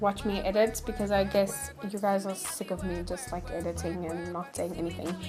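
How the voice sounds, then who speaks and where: A woman with a Johannesburg accent. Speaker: video editing tutorial maker. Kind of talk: tutorial voice-over commentary. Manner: casual, hesitant.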